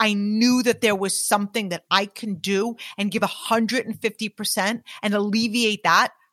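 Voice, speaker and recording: A woman's medium-pitched, a plain, everyday voice at a moderate pace, with hardly any pauses, fairly even intonation, and a dry, close sound with no echo. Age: 40s. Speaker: business leader and podcaster. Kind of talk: casual interview chat. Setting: in person with host.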